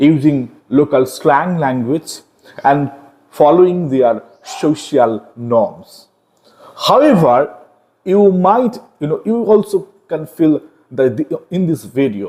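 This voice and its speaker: A man with an Indian accent and lively intonation, at a very slow pace with long, frequent pauses. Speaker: online literature teacher. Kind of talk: lecture. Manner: explanatory, frequent fillers like okay and got it.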